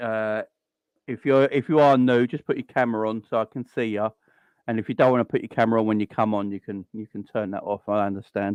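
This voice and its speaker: Against a quiet background, a man with a South London accent talks at a very fast pace and medium pitch in a dry, close sound with no echo. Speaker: football fan show host. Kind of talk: casual chat. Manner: animated.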